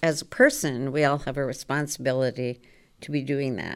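In an American accent, a woman with a very deep, low pitch speaks at a moderate pace with fairly even intonation, on a very clean recording with a silent background. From Maryland. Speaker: former state legislator. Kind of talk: casual chat. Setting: studio.

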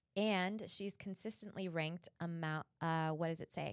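A woman with a normal speaking voice talks at a fairly low pitch with fairly even intonation, the sound dry and close with no echo. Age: 30s. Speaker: realtor and podcast host. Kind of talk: casual interview chat.

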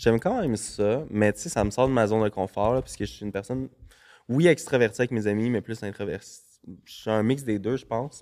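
With a Quebec accent, a man talks at a fairly quick pace. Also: medium pitch for a man, ordinary pitch variation. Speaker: celebrity gossip page creator. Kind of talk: casual chat.

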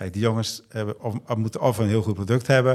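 Over a very clean recording with a silent background, a man talks in a fairly low voice with fairly even intonation. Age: 50s. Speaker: triathlete and wetsuit brand founder. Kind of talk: casual chat. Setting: hotel room. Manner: halting.

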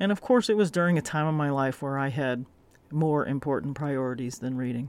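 The speaker has an American accent on a very clean recording with a silent background. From Florida, US South. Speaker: podcast host. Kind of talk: solo monologue podcast. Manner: frequent filler ums and repetitions.

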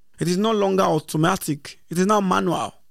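A man speaks with a Nigerian accent at a moderate pace. His pitch is high, with ordinary variation. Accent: Nigerian (Yoruba) English. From Nigeria, Lagos area. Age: young. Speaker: traditional priest. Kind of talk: interview.

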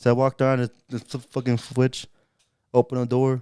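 At a very fast pace, a man speaks with a dark, mellow tone at medium pitch, in a dry, close sound with no echo. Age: 20s. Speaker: podcast co-host. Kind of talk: casual chat.

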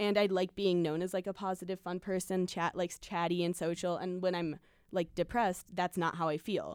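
A woman's normal speaking voice at a medium pitch, fairly quick pace, and fairly even intonation, on a very clean recording with a silent background. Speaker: college radio host. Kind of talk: casual chat. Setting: studio.

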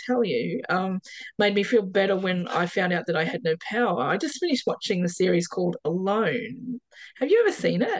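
Speaking with an Australian accent, a woman keeps a moderate pace and ordinary pitch variation. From Perth, Western Australia. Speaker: off-grid homeowner. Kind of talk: casual interview. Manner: hesitant, many fillers.

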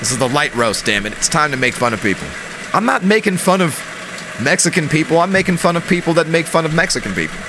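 Lively intonation runs through very fast speech, with noticeable background noise behind it. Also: man, fairly high pitch for a man. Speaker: podcast co-host. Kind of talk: casual chat. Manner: animated.

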